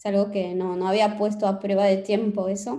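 A woman speaks with a dark, mellow tone. Her pace is moderate. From France. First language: French (speaking Spanish). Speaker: novelist. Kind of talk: interview.

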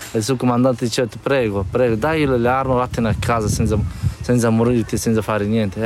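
A man talks at a fairly quick pace with a medium pitch and ordinary pitch variation. Noticeable background noise sits behind him. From northeastern Afghanistan, Badakhshan. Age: 20s. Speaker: refugee, former army officer. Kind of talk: testimony. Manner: halting, non-native phrasing.

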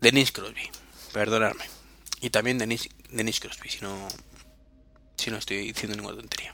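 This man talks in a flat monotone at a medium pitch. He leaves long, frequent pauses. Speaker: podcast host. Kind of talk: solo podcast monologue. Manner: halting.

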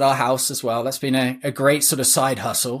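On a very clean recording with a silent background, a man with a fairly high pitch talks at a moderate pace in a monotone, flat intonation. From England. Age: 30s. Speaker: real estate investor. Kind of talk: interview.

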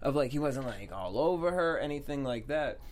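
A man mumbles as he speaks. His pitch shows ordinary variation. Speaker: TV aftershow host. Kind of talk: casual chat. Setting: studio. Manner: mumbles in regular voice, clearer host voice on air.

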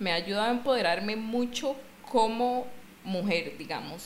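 A woman speaks at a moderate pace and a medium pitch with a Costa Rican accent. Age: 20s. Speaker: CrossFit coach. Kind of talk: casual chat.

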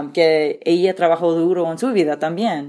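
On a very clean recording with a silent background, a woman talks in a fairly low voice. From California Central Valley. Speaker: politician, gubernatorial candidate. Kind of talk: interview. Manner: halting.

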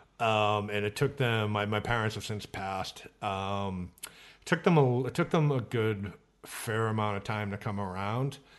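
A man with an American accent speaks in an ordinary speaking voice, fairly low in pitch with ordinary pitch variation, at a fairly slow pace over a quiet background. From Boston area, Massachusetts. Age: 40s. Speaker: mixed martial arts reporter. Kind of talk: casual interview chat.

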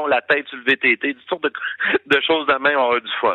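An unremarkable speaking voice from a man, fairly even in intonation, at a moderate pace. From Quebec, Gaspésie. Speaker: former truck driver and radio host. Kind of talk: interview.

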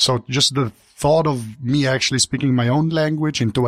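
Someone with a Slovenian accent speaks at a fairly quick pace in a dry, close sound with no echo. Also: man. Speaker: tech journalist. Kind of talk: casual panel discussion.

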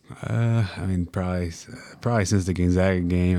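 In a Tennessee accent and a dark, mellow tone, the voice comes through on a very clean recording with a silent background. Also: man. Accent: Clay County (Tennessee). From Clay County, Tennessee. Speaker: college basketball player. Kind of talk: interview. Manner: halting, many fillers.

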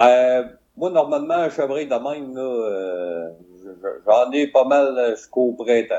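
A man at medium pitch and a very slow pace, with ordinary pitch variation. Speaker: podcaster. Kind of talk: live podcast chat.

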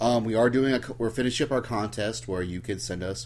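Very wide pitch swings over a voice with vocal fry. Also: man. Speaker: podcast host. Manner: casual, jokey.

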